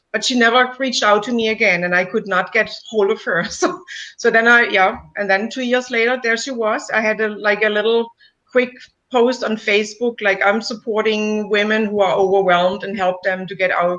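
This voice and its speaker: With a German accent, a woman speaks at a moderate pace in a fairly high voice, her intonation fairly even. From Germany. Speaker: coach, client of the host. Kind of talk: client testimonial interview. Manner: halting.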